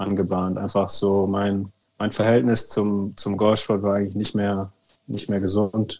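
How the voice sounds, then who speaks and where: With a fairly low pitch, a man speaks in a monotone, flat intonation. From Germany. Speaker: former professional golfer. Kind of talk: interview.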